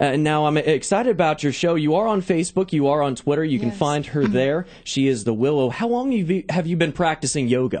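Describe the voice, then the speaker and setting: With lively intonation and an energetic, upbeat tone, a man speaks at a fairly quick pace and a fairly high pitch, with hardly any pauses and very even loudness. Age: 20s. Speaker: sports talk show host. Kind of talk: radio interview host. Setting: studio.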